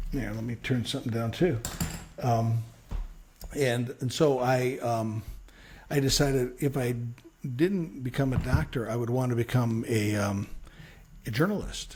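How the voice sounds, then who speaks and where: A man with an American accent and medium pitch, fairly slow pace, ordinary pitch variation, long, frequent pauses, and noticeable background noise. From Chicago, South Side. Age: 60s. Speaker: radio news reporter. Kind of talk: interview. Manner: halting.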